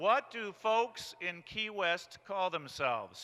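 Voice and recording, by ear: Natural reading aloud with ordinary variation in pitch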